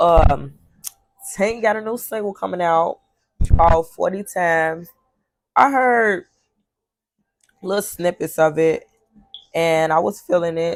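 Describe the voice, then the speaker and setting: Fairly slow and animated, a woman with a fairly low pitch and ordinary pitch variation speaks with long, frequent pauses. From Chicago, US. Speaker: podcast host. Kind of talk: casual monologue podcast. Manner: animated, profane street talk.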